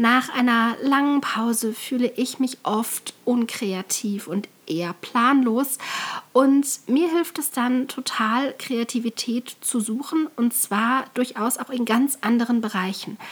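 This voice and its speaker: At a very slow pace, a woman speaks in a high pitch with ordinary pitch variation, with noticeable background noise behind her. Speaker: podcast host and calligrapher. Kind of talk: solo podcast tutorial.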